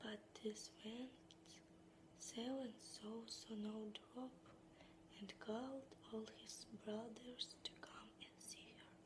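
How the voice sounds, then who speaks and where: A soft-spoken woman whispers at a very slow pace. Background noise is noticeable. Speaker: ASMR creator. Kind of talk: fairytale narration, whispered storytelling. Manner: whispered, soft-spoken.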